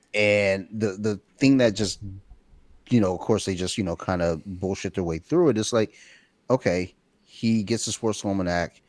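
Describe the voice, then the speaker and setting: At a moderate pace, a man with an unremarkable speaking voice talks at a fairly low pitch with ordinary pitch variation, in a very clean recording with a silent background and a dry, close sound with no echo. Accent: American. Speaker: podcast host. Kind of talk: casual chat.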